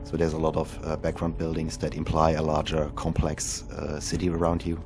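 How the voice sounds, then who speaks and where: With music in the background, a man speaks at a fairly quick pace in a very deep, low voice with monotone, flat intonation. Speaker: indie game developer. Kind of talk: game developer commentary.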